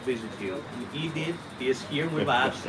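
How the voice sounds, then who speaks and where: A man's fairly high voice with an Italian accent and ordinary pitch variation, amid noticeable background noise and audible room echo. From Italy. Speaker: university lecturer. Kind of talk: casual interview chat.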